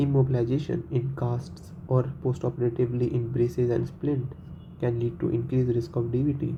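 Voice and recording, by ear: His tone dark and mellow, a man speaks at medium pitch with little pitch movement. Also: moderate pace.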